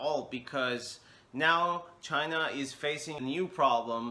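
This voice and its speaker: Speaking at a very slow pace, a man with a non-native accent and a fairly high pitch uses a bright, sharp tone and ordinary pitch variation. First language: not English. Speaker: English teacher. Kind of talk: vlog monologue. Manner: halting, many fillers.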